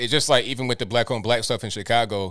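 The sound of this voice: Fast pace and medium pitch from a man with fairly even intonation and a fairly bright tone, in a very clean recording with a silent background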